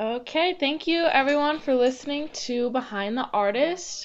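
Using a normal speaking voice, a woman talks with lively intonation. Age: young. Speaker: podcast host. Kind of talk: show intro and outro; casual interview chat.

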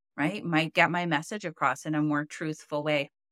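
Speaking in a Canadian accent at a moderate pace, a woman has a very deep, low pitch and fairly even intonation, in a very clean recording with a silent background and a dry, close sound with no echo. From Canada. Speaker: communication coach and podcast co-host. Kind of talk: casual chat.

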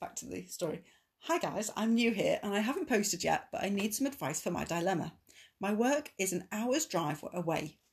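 The voice is somewhat breathy, with very wide pitch swings. It moves at a moderate pace. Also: woman. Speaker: podcast host reading Reddit posts aloud. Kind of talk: casual British conversational.

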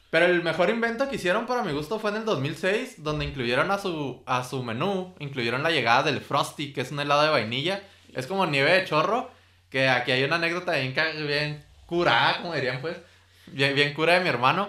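A man with a fairly high pitch speaks in a bright, sharp tone amid audible room echo. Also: lively intonation, fairly quick pace. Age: 20s. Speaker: food podcast host. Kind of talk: casual chat.

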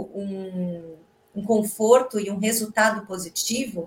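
A woman's medium-pitched voice at a very slow pace. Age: 40s. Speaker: project management head and researcher. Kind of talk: casual chat.

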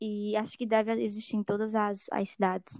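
A woman talks at a fairly high pitch and a moderate pace. The sound is dry and close, with no echo. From Alto Sertão of Paraíba, Brazil. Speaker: undergraduate student, project scholarship holder. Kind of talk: casual podcast conversation. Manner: halting with many fillers.

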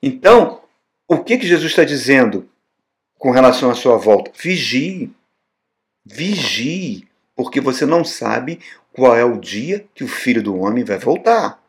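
Fairly high in pitch, a man speaks at a fairly slow pace with very wide pitch swings and long, frequent pauses. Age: 60s. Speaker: pastor. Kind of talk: sermon. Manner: animated.

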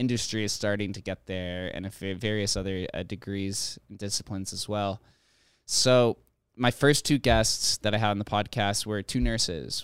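A man talks in an unremarkable speaking voice with a fairly low pitch, ordinary pitch variation and a moderate pace, on a very clean recording with a silent background. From Las Vegas, Nevada. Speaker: crypto consultant. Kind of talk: casual chat.

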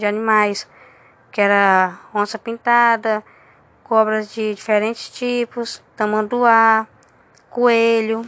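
Very slow speech from a woman with a fairly high voice and fairly even intonation. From Roraima, northern Brazil. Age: 20s. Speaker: university student. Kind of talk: personal narrative. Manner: halting, many fillers and repetitions.

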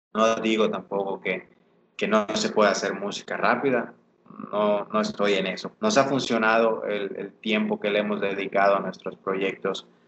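A man talks at a moderate pace in a fairly low pitch with monotone, flat intonation. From Mexico, Yucatán. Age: 20s. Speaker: urban music artist. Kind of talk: casual interview chat.

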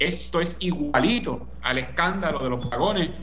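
The speaker talks in a Puerto Rican accent. Noticeable background noise and audible room echo fill the recording. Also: man. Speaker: political commentator. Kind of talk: radio commentary.

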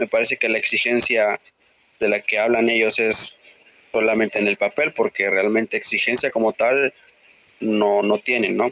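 With a Mexican accent, a man talks at a moderate pace and very even loudness. He leaves long, frequent pauses. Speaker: sports podcast co-host. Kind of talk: casual chat.

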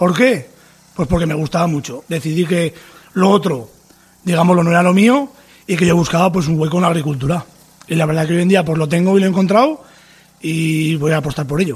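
Long, frequent pauses break up a man's fairly quick speech, delivered in a high pitch with ordinary pitch variation. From Navarre, Spain (Tudela). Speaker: farmer. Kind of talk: interview testimony.

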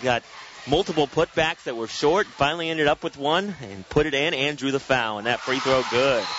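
Amid noticeable background noise, a man talks at a moderate pace and fairly high pitch with ordinary pitch variation. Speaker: radio play-by-play announcer. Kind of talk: live play-by-play basketball commentary, calling each pass and shot as it happens. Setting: courtside or balcony of a gym broadcasting on radio.

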